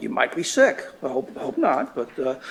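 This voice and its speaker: This man's voice sits at a high pitch. Behind him, background noise is noticeable. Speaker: professor. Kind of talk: lecture. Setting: classroom with students. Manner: fast; halting, many fillers and repeats.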